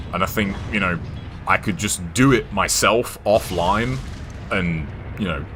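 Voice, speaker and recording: Music plays behind a man with a very deep, low voice and ordinary pitch variation. He talks at a fairly slow pace with long, frequent pauses. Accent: American. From England. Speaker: gaming streamer. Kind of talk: casual chat while gaming. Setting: live stream. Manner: halting, many fillers and restarts.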